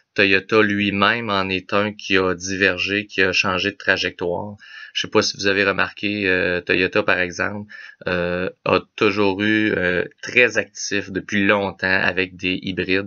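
In a Quebec accent, a man speaks at a fairly low pitch and a fairly slow pace. His intonation is monotone and flat against a quiet background. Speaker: automotive technician; car vlogger. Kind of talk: casual explainer video. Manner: halting, many filler words. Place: home room. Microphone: webcam.

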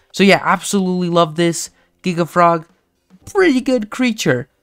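Music plays in the background while the words come at a fairly slow pace. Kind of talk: gaming commentary. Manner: casual, rambling.

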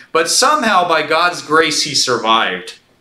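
Against a quiet background with audible room echo, a man talks at a moderate pace. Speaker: pastor. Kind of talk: sermon. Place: church. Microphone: lapel.

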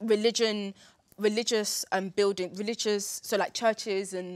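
The background stays quiet. A woman speaks with fairly even intonation. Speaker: debate show cast member. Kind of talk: discussion opinion. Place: studio.

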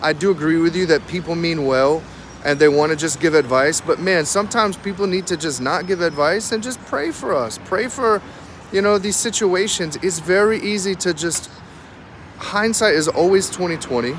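Faint background noise sits behind a man speaking at a moderate pace. His voice is fairly high in pitch, with a fairly bright tone and ordinary pitch variation.

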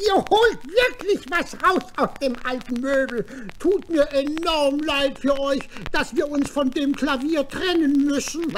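Over clear background noise, someone performs a put-on character voice in a cheerful, pompous tone. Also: fairly slow pace. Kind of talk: children's radio play acting. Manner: cheerful, praising, a bit pompous.

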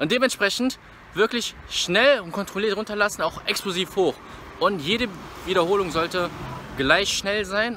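The speaker uses a raised, projected voice with lively intonation at a moderate pace. The sound is dry with no echo, and there is light background noise. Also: man. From Rhineland, Germany (Bergheim near Cologne); Rhineland, Germany. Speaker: fitness vlogger. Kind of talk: casual vlog talk to camera. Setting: gym. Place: street. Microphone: phone near.

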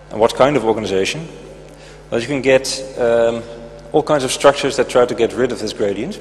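A man talks at a moderate speed while music plays behind him. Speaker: conference speaker. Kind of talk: lecture. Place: stage. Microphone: handheld.

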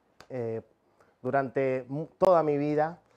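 In a Rioplatense accent, a man speaks at a very slow pace with a dark, mellow tone. The background is quiet. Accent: Argentine Spanish (rioplatense). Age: 30s. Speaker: preacher, missionary and professional cook; preacher. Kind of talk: sermon. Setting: speaking to a camera, livestreamed meeting. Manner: halting, many filler sounds. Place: studio. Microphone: lapel.

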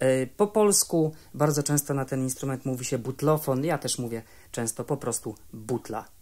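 Moderate pace from a male speaker, ordinary pitch variation, quiet surroundings. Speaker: music educator. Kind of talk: tutorial. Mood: friendly, lightly humorous. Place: home room. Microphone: studio mic.

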